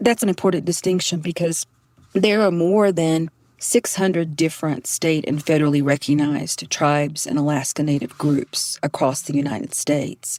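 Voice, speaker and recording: A woman with a strong Southern US accent speaks at a moderate pace in a very deep, low pitch with ordinary pitch variation, the sound dry and close with no echo. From Southeastern North Carolina. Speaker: professor. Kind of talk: podcast interview.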